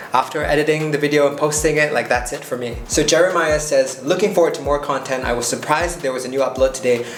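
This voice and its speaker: There is audible room echo and noticeable background noise as a man with a fairly high pitch speaks. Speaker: lawyer and YouTuber. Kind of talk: casual commentary reading and answering comments. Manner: off the cuff, conversational.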